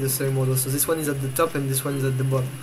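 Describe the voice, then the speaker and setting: Someone speaks with a French accent while music plays in the background. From France. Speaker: video game tutorial maker. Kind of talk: game tutorial voice-over. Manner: hesitant, many fillers.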